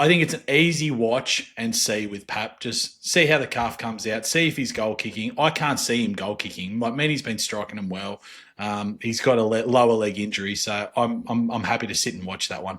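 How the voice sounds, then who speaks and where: Using a put-on character voice, a man speaks raspily at a medium pitch and a fairly quick pace, with hardly any pauses. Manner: monotone, flat.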